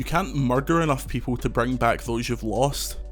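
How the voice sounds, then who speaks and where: Medium-pitched male voice at a fairly quick pace, with music in the background. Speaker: games reviewer. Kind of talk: video game review narration.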